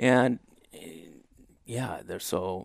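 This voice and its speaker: Recorded very cleanly against a silent background, a man with an Inland Northwest American accent speaks at a medium pitch with ordinary pitch variation. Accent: rural Inland Northwest American. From Idaho, small town on the Clearwater River. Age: 30s. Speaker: elk hunter. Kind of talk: casual interview. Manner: halting, many repeats and fillers.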